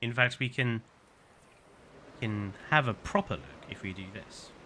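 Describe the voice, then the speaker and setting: A man with a southern English accent and a bright, sharp tone talks at a fairly slow pace with lively intonation. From southern England. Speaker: gaming streamer. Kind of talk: live game stream commentary. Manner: casual, repeats words.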